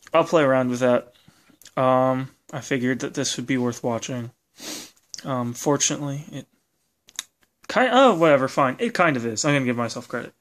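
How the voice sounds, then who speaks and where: Recorded very cleanly against a silent background, a man at a medium pitch speaks at a fairly quick pace with fairly even intonation and long, frequent pauses. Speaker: hobbyist robot builder. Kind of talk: casual video demo. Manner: halting, many fillers.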